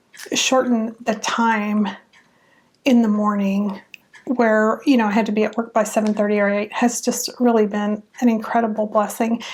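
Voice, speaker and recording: A woman's fairly high-pitched voice, relaxed in tone, with monotone, flat intonation at a moderate pace. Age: 50s. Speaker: retired federal employee, YouTuber. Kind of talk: casual personal talk answering interview questions. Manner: relaxed, with frequent hesitations.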